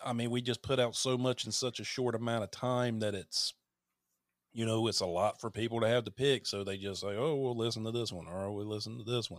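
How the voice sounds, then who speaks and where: With a Southern US accent, a man speaks at a fairly quick pace and with fairly even intonation, the sound dry and close with no echo. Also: medium pitch for a man. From North Carolina, US South. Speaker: horror podcaster and content creator. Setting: remote call.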